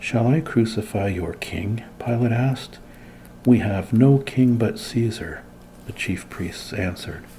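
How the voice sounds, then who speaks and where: Soft-spoken and fairly slow, a man talks at a medium pitch with ordinary pitch variation. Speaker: Bible teacher. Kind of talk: ASMR Bible reading with commentary.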